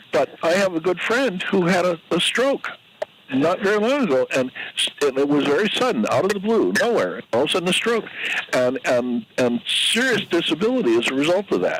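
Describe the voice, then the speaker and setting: Noticeable background noise surrounds a man talking at a fairly quick pace with very even loudness. His high voice makes very wide pitch swings. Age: 80s+. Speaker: caller. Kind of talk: casual chat. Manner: halting.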